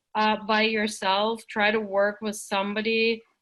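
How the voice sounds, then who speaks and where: At a very slow pace, a woman with a non-native accent speaks in a fairly high pitch. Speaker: teaching and learning center facilitator. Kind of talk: online workshop discussion. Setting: video call.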